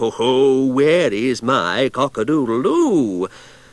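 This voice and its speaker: In a put-on character voice, a man speaks at a medium pitch and a fairly slow pace. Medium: read story. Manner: polite, sly.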